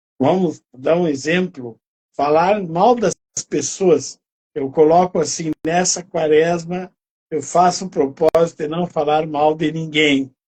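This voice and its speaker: Recorded with a dry, close sound and no echo, a man with a fairly high voice speaks at a very slow pace and with fairly even intonation. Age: 60s. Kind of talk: interview on faith.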